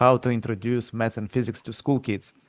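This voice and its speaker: A man with a non-native accent speaks at a medium pitch, the sound dry and close with no echo. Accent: foreign. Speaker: physics professor. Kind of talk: presentation at public meeting. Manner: halting with fillers.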